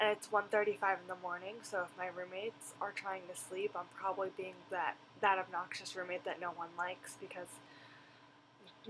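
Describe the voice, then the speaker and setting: Noticeable background noise behind a woman speaking at a medium pitch. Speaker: vlogger. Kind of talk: video blog review. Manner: loud; animated.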